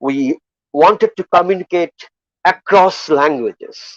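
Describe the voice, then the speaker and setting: In a Bengali accent, a man speaks at a very slow pace with a high pitch and lively intonation. The sound is dry and close, with no echo. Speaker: poet. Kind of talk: festival valedictory speech. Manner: halting, with repetitions and fillers.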